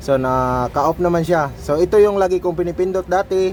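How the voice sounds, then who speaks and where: A man talks with ordinary pitch variation. Noticeable background noise fills the recording. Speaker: tech youtuber. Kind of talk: tutorial. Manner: loud; casual.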